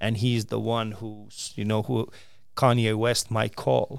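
The recording is very clean over a silent background. A man talks in a plain, everyday voice at a medium pitch. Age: 40s. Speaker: stand-up comedian. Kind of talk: interview.

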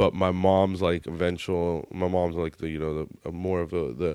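A man speaks with a very deep, low pitch and fairly even intonation in a very clean recording with a silent background. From Texas, Indian family. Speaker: actor and comedian. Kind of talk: casual chat. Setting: studio.

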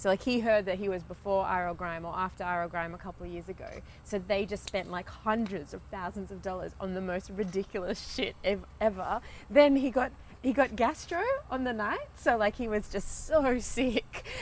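Her pitch medium with ordinary variation, a woman with an Australian accent talks at a moderate pace with big swings in loudness. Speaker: DJ and producer. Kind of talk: casual group chat, podcast.

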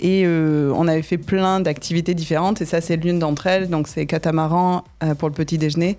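In a very clean recording with a silent background, a woman speaks at a moderate pace with a fairly low, dark, mellow tone. Her intonation is monotone and flat, and her loudness stays very even. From southern France, Nîmes. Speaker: tour guide and business owner. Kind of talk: radio interview. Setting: radio studio.

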